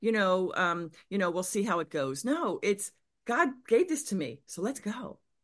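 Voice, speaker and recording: Against a quiet background, a woman with an American accent speaks at a moderate pace and medium pitch, her voice making very wide pitch swings. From Pennsylvania, US. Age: 50s. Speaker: business coach. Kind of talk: interview.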